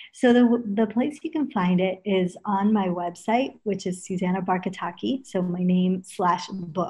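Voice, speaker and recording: A woman with an American accent speaks fairly slowly in a somewhat breathy, medium-pitched voice with ordinary pitch variation. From Los Angeles, US (early years in England). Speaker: yoga teacher. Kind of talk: interview.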